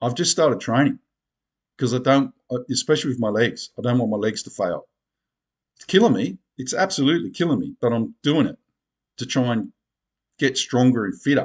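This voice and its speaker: A man speaks with an Australian accent at a medium pitch and ordinary pitch variation, at a fairly quick pace. Long pauses come often, and the sound is dry and close with no echo. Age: 60s. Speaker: video blogger. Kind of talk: casual monologue to camera. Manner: animated.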